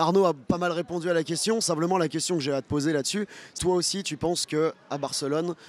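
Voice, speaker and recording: Close and dry with no echo, a man's high-pitched voice moves at a fairly quick pace with fairly even intonation. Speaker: football fan channel host. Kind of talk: post-match discussion. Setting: outdoors in front of a bar.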